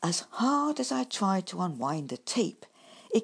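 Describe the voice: Someone does plain reading aloud here.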